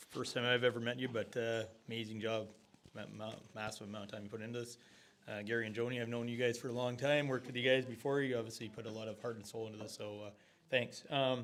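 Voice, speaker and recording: This man talks at a very fast pace in a medium pitch. His intonation stays monotone and flat. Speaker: audience member. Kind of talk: question at public meeting. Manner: loud.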